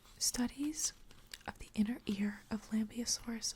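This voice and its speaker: Someone whispers. The pace is fairly slow. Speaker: paleo artist. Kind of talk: ASMR magazine reading. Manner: soft-spoken.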